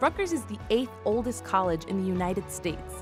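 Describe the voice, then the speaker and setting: A woman speaks at a fairly quick pace while music plays behind her. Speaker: television anchor and host. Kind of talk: promotional voice-over narration. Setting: recorded voice-over.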